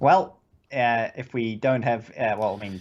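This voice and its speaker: This man talks at a medium pitch with a New Zealand accent. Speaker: podcast co-host. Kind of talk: casual chat. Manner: halting, many fillers.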